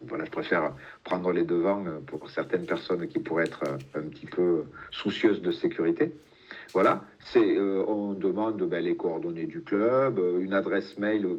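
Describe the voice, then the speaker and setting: A man speaks at a moderate pace in a fairly low pitch. His pitch swings very widely. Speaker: app representative presenting a product. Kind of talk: webinar presentation. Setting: video call. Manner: hesitant, many fillers.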